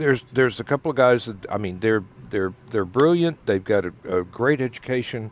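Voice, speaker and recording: Lively intonation marks this man's speech at a medium pitch. He moves along at a fairly quick pace. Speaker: online talk show co-host. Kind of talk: casual chat.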